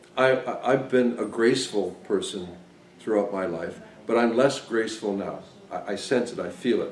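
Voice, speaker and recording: A man with ordinary pitch variation, in audible room echo. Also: medium pitch for a man, moderate pace. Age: 60s. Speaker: device designer and trainer. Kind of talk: lecture.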